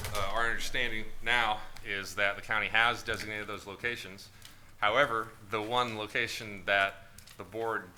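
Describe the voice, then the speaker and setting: The man's voice sits fairly low and has a bright, sharp tone. His pitch varies in an ordinary way. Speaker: district attorney advising the board. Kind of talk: board meeting briefing. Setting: board meeting room.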